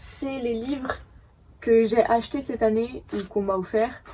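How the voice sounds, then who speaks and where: Speaking at a very slow pace, a woman has a dark, mellow tone. Her pitch varies in an ordinary way. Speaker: book youtuber. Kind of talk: casual chat. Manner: hesitant, many fillers.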